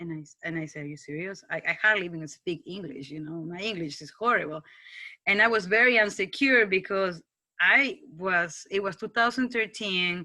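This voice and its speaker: The tone is bright and sharp, with a strong non-native accent. Loudness swings widely while the pitch varies in an ordinary way. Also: woman, medium pitch for a woman, moderate pace. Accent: foreign accent, strong. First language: Spanish. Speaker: TV news producer. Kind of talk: casual talk to students. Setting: video call. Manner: halting, with many restarts.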